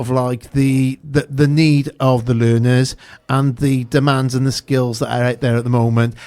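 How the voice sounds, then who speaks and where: With a South Wales accent, a man speaks at a medium pitch and with fairly even intonation. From Newport, Wales. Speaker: radio host. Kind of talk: radio interview.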